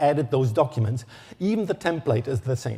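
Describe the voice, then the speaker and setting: Speaking with a German accent, a man uses lively intonation in a dark, mellow tone that is somewhat breathy. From Germany. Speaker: electronic engineer, standards expert. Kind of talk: conference talk. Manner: halting.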